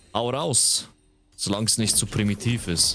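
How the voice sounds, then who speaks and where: Slowish in pace, a man speaks in a bright, sharp tone at a fairly low pitch with ordinary pitch variation. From Switzerland. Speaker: streamer. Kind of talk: live gameplay stream chat. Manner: casual, animated.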